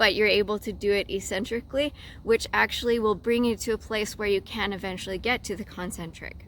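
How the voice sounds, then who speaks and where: With vocal fry and a fairly high pitch, a woman talks at a fairly quick pace with ordinary pitch variation. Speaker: fitness instructor. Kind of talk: tutorial. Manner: casual, with many fillers.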